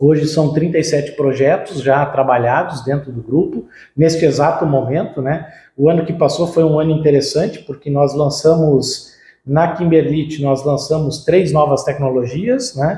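A man's somewhat breathy voice, dark and mellow in tone, at a fairly high pitch with fairly even intonation. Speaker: agribusiness marketing and R&D director. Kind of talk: interview. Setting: on-site visit at company headquarters.

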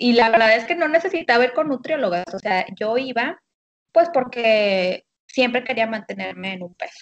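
At a moderate pace, a woman speaks in an ordinary speaking voice with fairly high pitch. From Monterrey, Nuevo León, Mexico. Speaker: habits coach. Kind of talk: casual chat. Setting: phone call.

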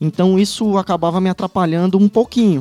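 Talking at a fairly quick clip with a northeastern Brazilian accent, a man uses a high pitch and a dark, mellow tone, recorded with a dry, close sound and no echo. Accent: northeastern Brazilian (Ceará). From Ceará, Brazil (Fortaleza). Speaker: state attorney. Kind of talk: casual chat.

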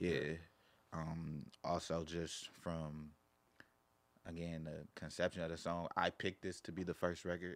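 With an American accent, a man speaks in a very deep, low pitch and a monotone, flat delivery, moving at a fairly slow pace with long, frequent pauses. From Carson, Los Angeles area, California. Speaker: rapper. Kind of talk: casual interview chat.

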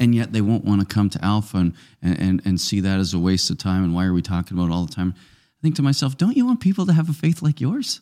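At a very fast pace, a man speaks in a dark, mellow, fairly low voice with very wide pitch swings, the sound dry and close with no echo in a very clean recording with a silent background. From Nova Scotia, Canada. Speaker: parish ministry leader. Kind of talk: casual chat.

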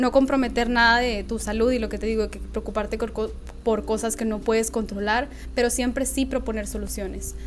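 A woman talks at a fairly quick pace amid noticeable background noise and audible room echo. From northern Mexico, Nuevo Laredo. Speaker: magazine founder and editor. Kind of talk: casual interview.

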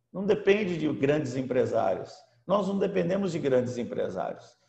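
A man with a high voice speaks at a moderate pace with lively intonation. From Brazil, São Paulo state (Americana). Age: 60s. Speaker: apostle and pastor, former businessman. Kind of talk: preaching talk. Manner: halting, frequent fillers.

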